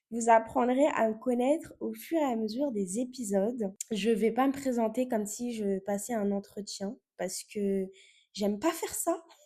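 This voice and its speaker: In a very clean recording with a silent background, a woman speaks at a fairly slow pace in a dark, mellow, somewhat breathy tone with ordinary pitch variation. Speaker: podcast host. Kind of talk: casual podcast monologue. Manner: hesitant, many fillers.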